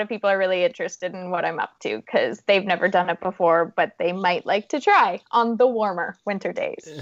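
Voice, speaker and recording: A woman with a Canadian accent talks at a moderate pace. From Canada, Saskatchewan. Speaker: adventurer and motivational speaker. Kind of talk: podcast interview.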